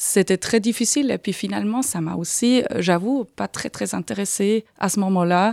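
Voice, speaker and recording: In a slight Swiss German accent, a woman talks at a medium pitch with ordinary pitch variation, at a moderate pace with hardly any pauses. The sound is dry and close with no echo, a very clean recording with a silent background. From Aargau, Switzerland. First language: Swiss German (speaking French). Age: 40s. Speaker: patient with arthritis. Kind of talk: interview. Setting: studio. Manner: halting.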